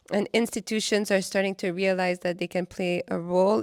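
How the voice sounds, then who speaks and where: A woman's medium-pitched voice in a Quebec accent, at a fairly quick pace with fairly even intonation, in a dry, close sound with no echo. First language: French. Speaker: artist. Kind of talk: interview. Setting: after a film screening at a cinema.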